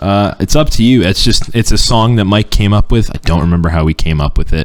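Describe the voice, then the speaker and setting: Over music in the background, a man speaks at a fairly quick pace in a fairly low pitch with ordinary pitch variation. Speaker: podcast host. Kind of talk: casual chat. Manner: stutters when uncomfortable or talking fast.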